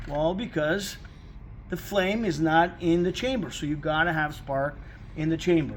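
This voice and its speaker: Audible room echo surrounds this man's fairly high-pitched voice. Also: ordinary pitch variation. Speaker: car mechanic. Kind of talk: tutorial. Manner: fast.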